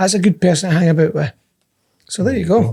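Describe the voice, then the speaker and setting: A man speaks in a Scottish accent with a dark, mellow tone. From Scotland. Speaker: podcast co-host. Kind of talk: casual chat.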